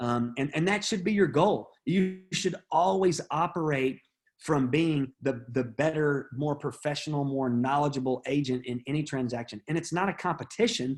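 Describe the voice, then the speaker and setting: A man with a plain, everyday voice talks at a fairly high pitch and moderate pace. He hardly pauses, and his pitch varies in an ordinary way. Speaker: real estate trainer. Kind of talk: training session.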